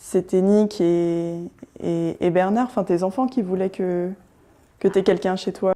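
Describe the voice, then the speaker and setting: A woman speaks very slowly at a medium pitch, with a dark, mellow tone and fairly even intonation. Long, frequent pauses break up her speech against a quiet background. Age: 20s. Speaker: student in intergenerational home-share. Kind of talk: casual interview chat.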